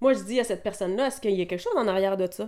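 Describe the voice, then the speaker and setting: The recording is very clean with a silent background. A woman talks at a very fast pace and a medium pitch. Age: 40s. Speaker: massage therapist and wellness coach. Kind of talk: solo podcast monologue.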